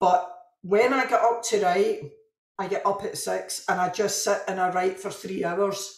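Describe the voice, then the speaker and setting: A woman with a Glaswegian accent, with audible room echo. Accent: Glaswegian Scottish. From Scotland, Glasgow. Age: 50s. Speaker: novelist. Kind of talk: interview.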